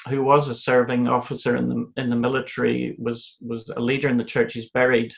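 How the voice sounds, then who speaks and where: A fairly quick delivery with a Northern Irish accent. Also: man. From Northern Ireland, County Antrim. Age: 60s. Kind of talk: interview. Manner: halting, with repetitions.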